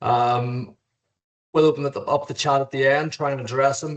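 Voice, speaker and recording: A man with a fairly high voice at a fairly quick pace. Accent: Irish. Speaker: lawyer and contracts trainer. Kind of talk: webinar lecture. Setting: video call. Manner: casual, hesitant with fillers.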